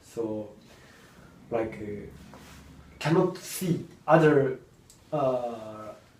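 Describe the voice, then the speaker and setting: A man speaks with a Japanese accent and lively intonation. Audible room echo surrounds his voice. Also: long, frequent pauses, big swings in loudness. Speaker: motocross rider. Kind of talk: interview. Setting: studio. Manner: halting.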